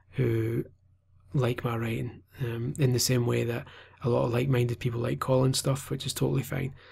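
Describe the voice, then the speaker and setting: A man with a Scottish accent speaks at a medium pitch with vocal fry. His pace is fairly quick and his intonation fairly even. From Scotland. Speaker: gaming journalist. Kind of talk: vlog monologue. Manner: hesitant, many fillers.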